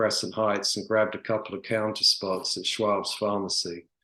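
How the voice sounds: The clip is a natural reading voice. Nothing more stands out.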